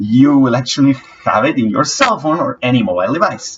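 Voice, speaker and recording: A man with a non-native accent. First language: not English. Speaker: app developer. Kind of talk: tutorial. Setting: screen recording on laptop. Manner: halting. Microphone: low-quality laptop audio.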